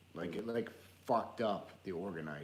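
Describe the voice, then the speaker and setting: A man speaks with a very deep, low pitch and ordinary pitch variation. Audible room echo surrounds his voice. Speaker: live stream co-host. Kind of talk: casual chat. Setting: live stream.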